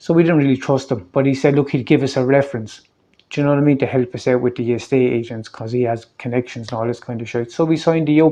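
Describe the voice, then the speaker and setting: Against a quiet background, a man with a Waterford Irish accent talks at a very fast pace, his dark, mellow tone at medium pitch with fairly even intonation. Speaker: local activist vlogger. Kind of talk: personal video update.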